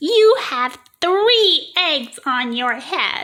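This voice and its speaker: This is a put-on character voice with a high pitch. Its pitch swings very widely. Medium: read story. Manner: bright, calm.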